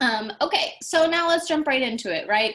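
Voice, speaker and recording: The tone is animated. Pitch swings very widely. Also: woman. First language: Japanese and Portuguese. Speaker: language teacher. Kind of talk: welcome video.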